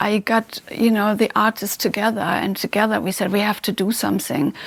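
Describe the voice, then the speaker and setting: There is noticeable background noise. Over it, a woman speaks at a fairly high pitch. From Germany, Hamburg. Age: 60s. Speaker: entrepreneur and philanthropist. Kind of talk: interview.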